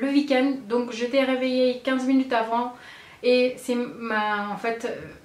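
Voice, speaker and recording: Her pitch high and her intonation flat and monotone, a woman speaks at a very slow pace. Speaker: beauty vlogger. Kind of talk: casual vlog tutorial. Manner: hesitant, many fillers.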